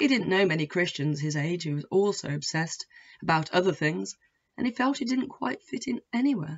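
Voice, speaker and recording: A woman with a fairly low, somewhat breathy voice swings very widely in pitch. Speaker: author reading her own novel. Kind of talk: audiobook-style reading of own fiction, prologue.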